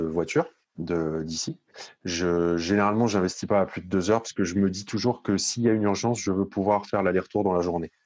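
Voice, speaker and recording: A man with an unremarkable speaking voice, fairly low in pitch, with ordinary pitch variation and a moderate pace, against a quiet background. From Paris region, Hauts-de-Seine. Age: 30s. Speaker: real estate investor. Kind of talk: interview.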